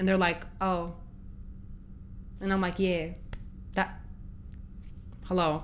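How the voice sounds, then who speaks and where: A woman's fairly low-pitched voice, monotone and flat, at a very slow pace with long, frequent pauses, very even loudness and audible room echo. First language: not English. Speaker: reaction youtuber. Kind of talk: casual chat.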